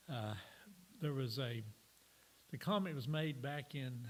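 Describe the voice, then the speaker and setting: A somewhat breathy man talks at a moderate pace with ordinary pitch variation. Audible room echo surrounds his voice. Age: 70s. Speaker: church teacher. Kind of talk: sermon. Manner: halting.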